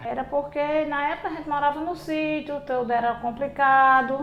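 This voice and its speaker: A woman's voice with audible room echo. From rural Paulista, Paraíba, Brazil. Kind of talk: documentary interview.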